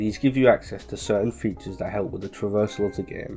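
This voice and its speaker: A man speaks with music in the background. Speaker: gaming video narrator. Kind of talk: video game playthrough narration. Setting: home recording with computer fan noise.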